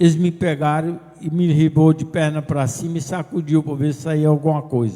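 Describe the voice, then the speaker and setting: A man's fairly high voice with a dark, mellow tone. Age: 70s. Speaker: politician, former mayor. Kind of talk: press conference statement. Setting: press conference with audience.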